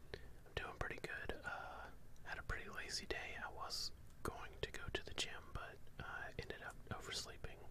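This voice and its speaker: Whispering and soft-spoken, the voice moves at a moderate pace against noticeable background noise. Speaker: live streamer. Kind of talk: counting aloud and casual chat with viewers. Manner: casual chat in a soft whisper.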